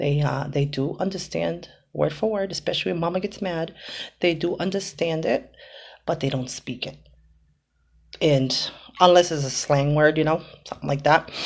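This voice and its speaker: Pitched very deep and low, a woman speaks at a moderate pace with ordinary pitch variation and long, frequent pauses in a very clean recording with a silent background. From Boston, US. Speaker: home cooking vlogger. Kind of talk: casual vlog talk. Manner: halting, many fillers.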